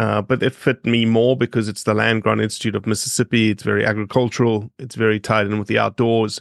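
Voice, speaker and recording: Very fast speech in a South African accent with monotone, flat intonation comes through a dry, close sound with no echo against a quiet background. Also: man, fairly low pitch for a man. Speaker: conservation non-profit director and wetland ecologist. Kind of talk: casual interview.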